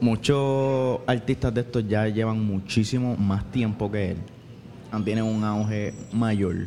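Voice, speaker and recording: A man speaks at a very slow pace with fairly low pitch. His intonation stays fairly even. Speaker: pastor and musician. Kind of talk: casual chat. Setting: pizzeria. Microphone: far from the mic.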